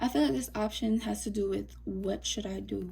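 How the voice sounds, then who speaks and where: A soft-spoken woman whispering at a moderate pace. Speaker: tarot reader. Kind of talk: tarot reading. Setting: recording to camera. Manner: quiet, mellow; soft-spoken, almost whispering.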